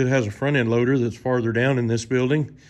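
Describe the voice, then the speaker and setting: A man is speaking. His intonation is monotone and flat. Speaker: farmer showing his tractors. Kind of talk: casual vlog tour commentary. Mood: relaxed, folksy. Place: garage. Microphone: phone near.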